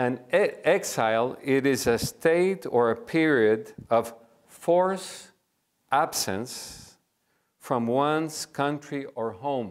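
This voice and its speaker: Here a man speaks in a Spanish accent at a very slow pace. His pitch is fairly high and his intonation is lively. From Cuba. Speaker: pastor and seminary lecturer. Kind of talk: lecture.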